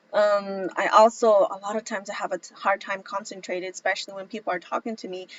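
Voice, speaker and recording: With very fast delivery and hardly any pauses, a woman talks in a medium pitch with fairly even intonation and big swings in loudness, over noticeable background noise. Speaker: vlogger. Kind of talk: personal testimony vlog.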